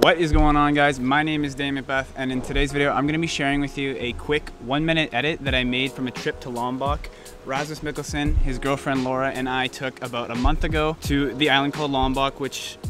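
A man talks at a fairly quick clip with hardly any pauses, his intonation flat and monotone. The sound is dry with no echo, and music plays clearly in the background. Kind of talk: casual vlog chat. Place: garden.

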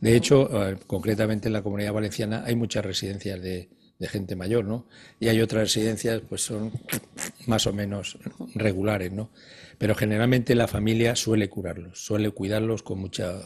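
A man speaks at a moderate pace in a fairly low pitch, somewhat breathy, with monotone, flat intonation. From Spain, Galicia (Ferrol area); Galicia, Spain. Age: 70s. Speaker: retired geriatrician; guest. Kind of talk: TV interview. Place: studio. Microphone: lapel.

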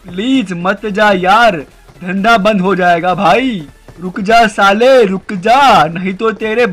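With faint music in the background, a man uses a whiny, high-pitched, put-on character voice at a fairly slow pace. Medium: machinima. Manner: pleading, whiny, then threatening.

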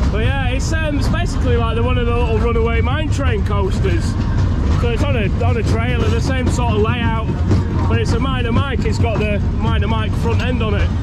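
Fairly quick speech over loud background noise. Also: man. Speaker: fairground vlogger. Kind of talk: casual vlog chat. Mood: cheerful, self-amused. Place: open country. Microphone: phone near.

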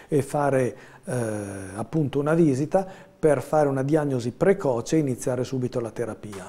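The speaker is a man with a fairly high pitch. He talks at a moderate pace with ordinary pitch variation. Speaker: family doctor. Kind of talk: live TV interview. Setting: studio. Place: studio. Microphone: lapel.

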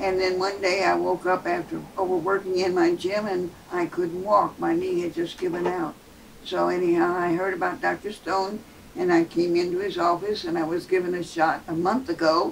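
Over light background noise, a woman with a fairly low pitch speaks at a moderate pace in a monotone, flat intonation. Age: 80s+. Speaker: patient. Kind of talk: patient testimonial. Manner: casual, slightly hesitant. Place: office.

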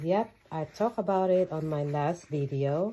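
A woman's very deep, low voice, dark and mellow in tone, with lively intonation. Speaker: fashion YouTuber. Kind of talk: unboxing haul video.

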